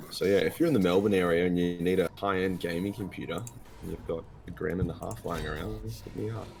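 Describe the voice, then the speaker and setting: A man with an Australian accent talks at a very fast pace, his very deep, low voice carrying lively intonation. Music plays in the background and the room echo is audible. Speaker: gaming youtuber. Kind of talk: casual chat. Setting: live stream.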